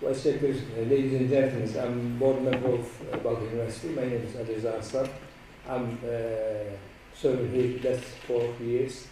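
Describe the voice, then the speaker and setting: A man at a moderate pace with long, frequent pauses, audible room echo and noticeable background noise. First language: Turkish. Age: 70s. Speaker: university board member. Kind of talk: formal speech. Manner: halting.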